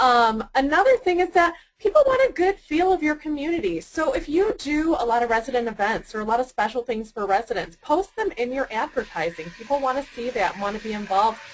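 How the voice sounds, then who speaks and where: A woman speaks at a very fast pace with a high pitch and very wide pitch swings. Noticeable background noise can be heard. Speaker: webinar presenter. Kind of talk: webinar tutorial. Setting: webinar.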